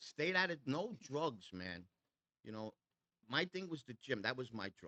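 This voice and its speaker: Speaking with a New York accent at a fairly slow pace, a man uses an animated, bright, sharp tone at medium pitch, with very wide pitch swings and big swings in loudness in a dry, close sound with no echo. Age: 60s. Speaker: custom motorcycle builder. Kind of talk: casual chat.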